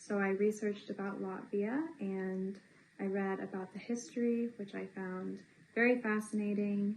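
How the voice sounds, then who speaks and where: A woman speaks with an American accent at a medium pitch, her intonation fairly even. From US South, Tennessee (Johnson City). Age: 20s. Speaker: English teaching assistant. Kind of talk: interview. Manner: halting, many fillers.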